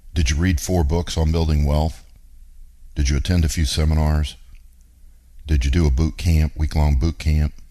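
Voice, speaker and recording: A man speaks with a very deep, low pitch at a moderate pace, pausing long and often. His intonation is fairly even, and background noise is noticeable. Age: 50s. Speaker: radio show host, real estate investor. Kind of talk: talk radio monologue.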